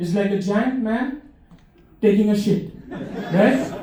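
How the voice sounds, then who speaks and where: Over noticeable background noise, a man's voice carries audible room echo. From India. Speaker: comedian. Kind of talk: stand-up. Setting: stage with audience. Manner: halting, many fillers and restarts.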